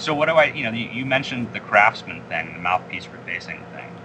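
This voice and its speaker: A man is speaking. Noticeable background noise comes through behind him. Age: 30s. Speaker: jazz saxophonist. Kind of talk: interview.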